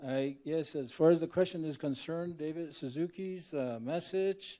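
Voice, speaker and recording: A man with a Southwestern US accent speaks at a moderate pace in a fairly high voice with a dark, mellow tone and ordinary pitch variation. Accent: Navajo-accented English. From Navajo Nation, US Southwest. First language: Navajo. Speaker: professor, panelist. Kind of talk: conference panel introduction. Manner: halting.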